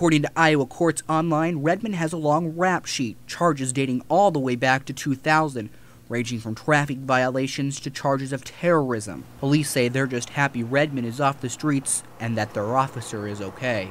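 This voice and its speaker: In a very clean recording with a silent background, a man with an ordinary speaking voice talks at a moderate pace and fairly high pitch with hardly any pauses. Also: ordinary pitch variation. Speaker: TV news reporter. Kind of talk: TV news report and standups.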